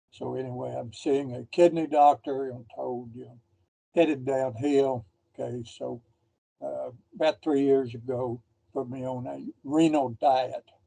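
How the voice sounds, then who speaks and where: Speaking fairly slowly at medium pitch, a man has a dark, mellow tone, fairly even intonation and big swings in loudness. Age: 80s+. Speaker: dialysis patient. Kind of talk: question to presenter.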